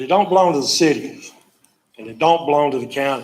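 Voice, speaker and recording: Speaking at a fairly quick pace with ordinary pitch variation, this voice carries a north Florida accent. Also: man. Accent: Southern US (north Florida). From US South. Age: 70s. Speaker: public commenter. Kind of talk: public comment at a county meeting. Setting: county commission meeting.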